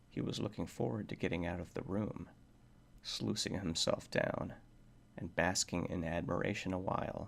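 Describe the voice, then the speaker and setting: A soft-spoken man talks at a fairly slow pace. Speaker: ASMR reader. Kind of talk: horror story reading.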